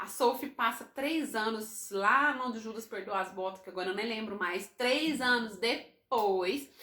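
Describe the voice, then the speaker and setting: A woman with a fairly high pitch speaks at a fairly slow pace, with hardly any pauses and ordinary pitch variation, over noticeable background noise. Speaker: book YouTuber. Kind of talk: casual book review vlog.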